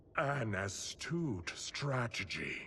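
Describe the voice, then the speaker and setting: A man puts on a raspy character voice at medium pitch with lively intonation. Clear background noise runs underneath. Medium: video game. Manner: formal, measured.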